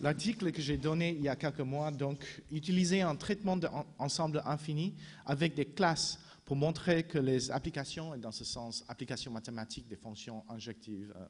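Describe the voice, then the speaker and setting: With a non-native accent, a man talks at a moderate pace in a fairly high, somewhat breathy voice with lively intonation. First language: not French (speaking French). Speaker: philosopher, conference speaker. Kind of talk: conference talk. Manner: halting, frequent restarts and fillers.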